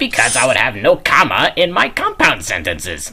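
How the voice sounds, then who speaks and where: The speaker uses a put-on character voice. The pace is moderate. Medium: audio drama. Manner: jokey, loose.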